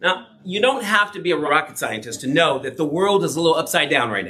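A man speaks in an animated tone with lively intonation. Noticeable background noise is present. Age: 50s. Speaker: messianic rabbi. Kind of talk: conference talk. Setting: stage with audience.

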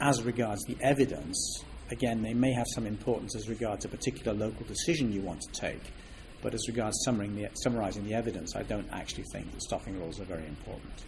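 A man talks very fast in a fairly low pitch. Noticeable background noise runs behind him. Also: ordinary pitch variation. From Switzerland. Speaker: statistics professor. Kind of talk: interview. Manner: measured, formal.

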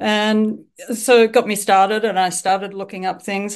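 In an Australian accent, a woman talks at a medium pitch against a quiet background. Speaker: author and bird tour leader. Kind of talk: casual interview. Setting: remote call from Japan. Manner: hesitant, many fillers.

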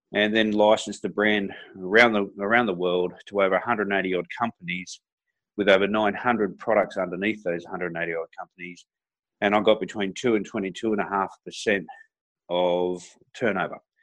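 Fairly low in pitch, a man speaks with an Australian accent. His delivery is fairly slow, with monotone, flat intonation. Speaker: entrepreneur and motivational speaker. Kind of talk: interview.

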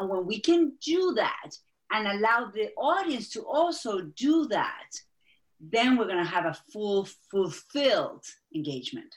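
A woman with an Argentine accent speaks at a fairly slow pace and a fairly high pitch, with very wide pitch swings. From Argentina. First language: Spanish. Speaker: executive coach and speaking strategist. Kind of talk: interview.

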